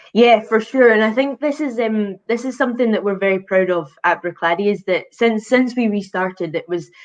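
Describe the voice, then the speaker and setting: A woman with a Hebridean accent, fairly high-pitched and fairly quick, with hardly any pauses and ordinary pitch variation. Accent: Islay Scottish, called subtle (ironically). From Scotland, Islay. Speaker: whisky brand ambassador. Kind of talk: casual chat.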